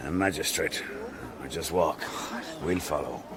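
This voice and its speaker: Against loud background noise, a man puts on a gruff character voice at a moderate pace. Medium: audio drama. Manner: gruff, curt.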